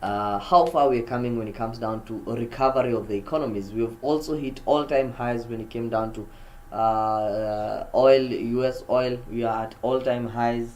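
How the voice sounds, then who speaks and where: Medium-pitched man's voice with audible room echo. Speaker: forex trader streamer. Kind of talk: live market commentary. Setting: live stream.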